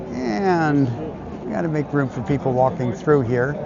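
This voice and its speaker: A man with an American accent at a fairly high pitch and moderate pace, with ordinary pitch variation, audible room echo, and crowd noise in the background. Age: 70s. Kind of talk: casual vlog talk to camera. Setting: outdoors in a crowd.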